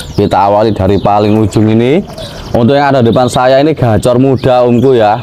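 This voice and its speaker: A man with an upbeat tone talks at a very fast pace, with ordinary pitch variation and light background noise. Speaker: bird seller reviewer. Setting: at a bird shop stall, video recording. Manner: fast, rhythmic sales patter, upbeat and persuasive, repeating "om" to address buyers. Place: shop. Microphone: phone near.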